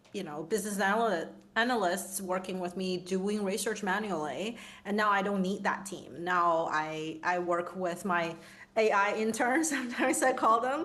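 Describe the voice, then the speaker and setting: A woman with a non-native accent speaks with ordinary pitch variation. Noticeable background noise and audible room echo surround her voice. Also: medium pitch for a woman, moderate pace. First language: not English. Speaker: designer and futurist. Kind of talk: panel discussion.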